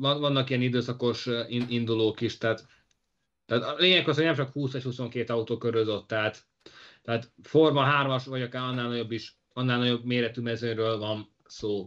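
Against a quiet background, a man with a normal speaking voice talks at a moderate pace. His pitch is medium and his intonation fairly even. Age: young. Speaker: motorsport podcast co-host. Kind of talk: casual chat.

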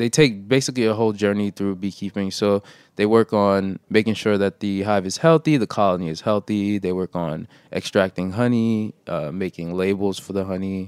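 A normal speaking voice moves at a moderate pace in a very clean recording with a silent background and a dry, close sound with no echo. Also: man, fairly low pitch for a man, ordinary pitch variation. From New York, Brooklyn. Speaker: urban beekeeper and program coordinator. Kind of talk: interview.

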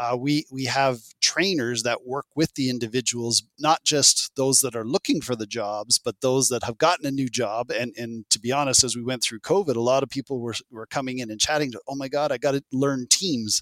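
A man with a plain, everyday voice and medium pitch speaks at a moderate pace with ordinary pitch variation and hardly any pauses, the sound dry and close with no echo. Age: 50s. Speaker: employment program manager. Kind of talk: interview.

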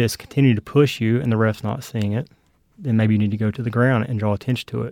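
Recorded very cleanly against a silent background, a man with a medium pitch and an American accent uses a normal speaking voice with fairly even intonation. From US South (South Carolina, Tennessee). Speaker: litigant, father and youth soccer coach. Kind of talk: casual dispute testimony.

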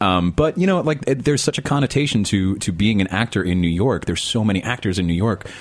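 Delivered at a very fast pace with hardly any pauses, the speech has lively intonation and very even loudness. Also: man, fairly low pitch for a man. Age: 30s. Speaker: actor. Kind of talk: casual chat.

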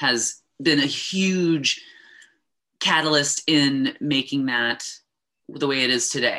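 Her pitch very deep and low yet her tone bright and sharp, a woman speaks in an American accent on a very clean recording with a silent background. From United States. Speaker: cannabis consultant. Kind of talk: interview.

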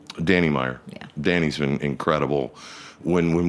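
Noticeable background noise accompanies a man speaking at a fairly quick pace with fairly even intonation. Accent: American. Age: 50s. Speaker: restaurant group managing partner. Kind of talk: interview.

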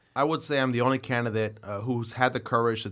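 Recorded very cleanly against a silent background, a man speaks with a New York accent. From Brooklyn, New York City. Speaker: politician. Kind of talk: interview. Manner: halting, many fillers and repeated words.

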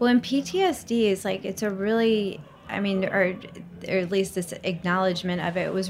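A woman with a normal speaking voice and a medium pitch talks at a moderate speed, her pitch varying in an ordinary way. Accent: American. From Mississippi, US South. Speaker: entrepreneur and mother sharing grief story. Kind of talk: interview conversation.

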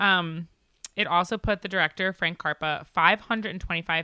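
Fairly low in pitch, a woman speaks with lively intonation and a bright, sharp tone. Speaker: podcast co-host. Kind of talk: casual chat. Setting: studio.

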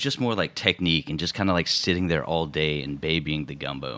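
With an American accent, a man talks at a fairly quick pace in a very deep, low voice with vocal fry. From Houston, Texas. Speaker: chef. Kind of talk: interview.

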